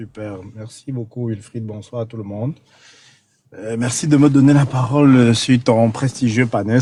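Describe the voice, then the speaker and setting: In a Cameroonian accent, a man speaks fairly slowly with fairly even intonation. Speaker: caller on a live panel. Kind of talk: political commentary on a call-in panel. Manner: hesitant, many fillers and repetitions.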